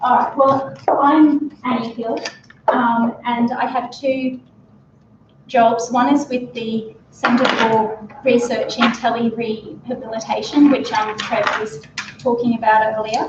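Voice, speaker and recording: A woman with an Australian accent shouts at a very slow pace in a high pitch, her intonation fairly even. Audible room echo and noticeable background noise fill the recording. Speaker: speech pathologist and researcher. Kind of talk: conference talk. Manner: raised voice, shouting to be heard. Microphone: microphone battery failing, speaking without mic.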